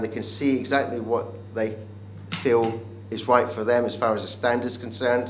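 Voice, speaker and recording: This man talks at a moderate pace in a medium pitch, his intonation flat and monotone. Room echo is audible, and there is noticeable background noise. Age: 60s. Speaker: business event organiser. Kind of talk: interview pitch. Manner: hesitant with fillers.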